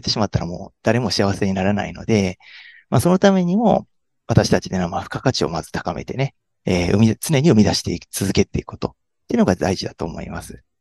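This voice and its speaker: The speech moves at a fairly quick pace with very wide pitch swings, recorded with a dry, close sound and no echo. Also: man. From Hyogo, Kansai. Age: 30s. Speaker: tax accountant. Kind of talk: interview. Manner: halting, many fillers.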